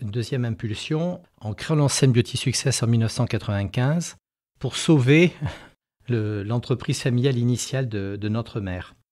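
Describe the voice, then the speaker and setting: Recorded very cleanly against a silent background, a man of medium pitch speaks at a moderate pace with ordinary pitch variation. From France, Périgord (Dordogne). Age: 60s. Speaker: company founder and CEO. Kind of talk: interview. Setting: company headquarters. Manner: hesitant, many fillers.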